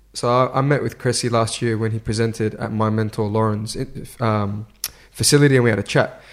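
A man with an Australian accent speaks at a fairly quick pace, his medium-pitched voice keeping a fairly even intonation. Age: 20s. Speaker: strength and conditioning coach. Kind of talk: casual interview. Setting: in person, at fight-week venue.

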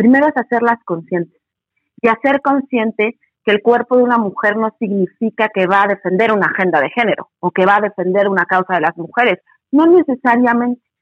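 A woman with a normal speaking voice speaks at a fairly quick pace with lively intonation. Her pitch is fairly high and her loudness very even. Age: 40s. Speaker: feminist educator. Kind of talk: interview.

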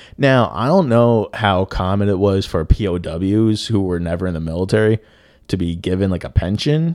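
A man's fairly low voice at a moderate pace, animated in tone with lively intonation. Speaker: podcast host. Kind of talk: casual comedic storytelling. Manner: animated, joking, profane; does comic accents.

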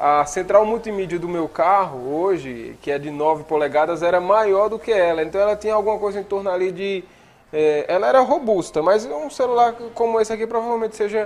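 Speaking at a fairly quick pace, a man uses lively intonation at a high pitch. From Paraíba, Brazil (Cariri, rural Monteiro). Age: 30s. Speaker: broadcaster and video producer. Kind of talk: casual interview.

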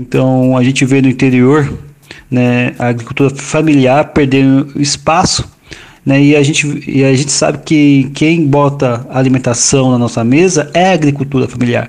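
A man speaks at a moderate pace with a fairly high pitch. His intonation is flat and monotone, and his loudness stays very even. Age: 40s. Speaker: environmental manager and geographer, urban garden project founder. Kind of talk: interview. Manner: halting, many fillers.

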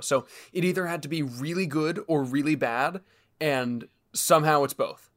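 This man talks with ordinary pitch variation. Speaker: podcast co-host. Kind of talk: casual chat. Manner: animated.

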